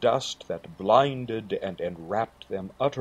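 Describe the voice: Text read aloud plainly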